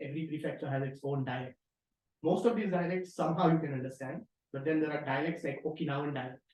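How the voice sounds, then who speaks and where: A man with a Marathi accent talks at a very fast pace. His voice is somewhat breathy, with ordinary pitch variation. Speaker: researcher presenting a tutorial. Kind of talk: tutorial.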